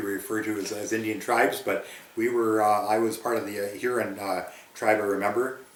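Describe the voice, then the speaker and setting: With noticeable background noise and audible room echo around him, a man with an Ontario accent talks at a medium pitch in a monotone, flat intonation. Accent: rural Ontario Canadian. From Ontario, Canada (Grey County). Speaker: former farm youth club member. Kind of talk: oral history interview. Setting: recorded interview near a rural town. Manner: hesitant, many fillers.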